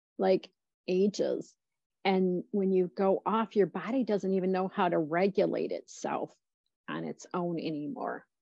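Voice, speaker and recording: A woman with an unremarkable speaking voice talks at a fairly slow pace. Her pitch is medium and her intonation fairly even. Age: 50s. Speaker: dietitian and health coach. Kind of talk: casual interview chat.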